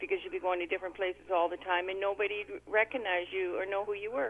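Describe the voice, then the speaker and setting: Noticeable background noise sits behind a woman with a Canadian accent. She talks at a very fast pace with fairly even intonation. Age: 60s. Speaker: radio caller. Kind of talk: call-in radio chat. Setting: phone call.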